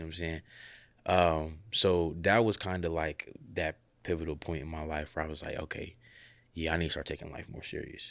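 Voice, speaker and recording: A man's very deep, low voice with an American accent, fairly quick pace, and monotone, flat intonation. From Columbus, Ohio. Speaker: minister and college student. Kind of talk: casual chat.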